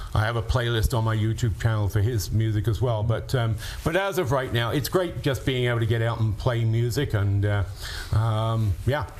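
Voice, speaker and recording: A man at medium pitch talks at a moderate pace with ordinary pitch variation and very even loudness. The room echo is audible, and there is noticeable background noise. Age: 70s. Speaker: musician. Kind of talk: interview.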